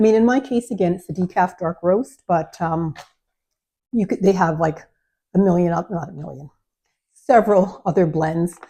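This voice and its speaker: This woman has a fairly low pitch, a dark, mellow, somewhat breathy tone and a Canadian accent. She speaks at a moderate pace with ordinary pitch variation and long, frequent pauses. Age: 60s. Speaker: lifestyle vlogger. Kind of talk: product review vlog. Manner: casual, hesitant with many fillers.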